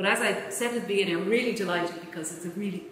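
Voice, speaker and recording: A woman speaks with fairly even intonation. Audible room echo and light background noise are present. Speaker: event chair introducing lecturer. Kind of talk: formal introduction speech. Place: hall. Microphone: podium.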